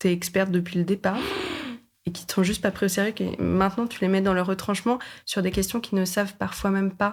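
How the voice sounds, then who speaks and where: Moving at a fairly quick pace, this woman uses a medium pitch. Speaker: podcaster. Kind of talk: casual chat. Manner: animated.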